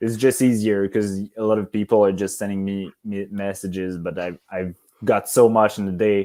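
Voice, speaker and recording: With a Quebec accent, a man speaks in a dark, mellow tone at a fairly low pitch, his intonation monotone and flat, on a very clean recording with a silent background. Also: moderate pace. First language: French. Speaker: competitive rifle shooter. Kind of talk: podcast interview. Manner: halting, searching for words.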